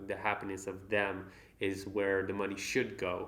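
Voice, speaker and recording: A man's voice with audible room echo. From Netherlands. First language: Dutch. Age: young. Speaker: business owner and credit card reviewer. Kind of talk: unboxing monologue to camera. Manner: halting, many fillers.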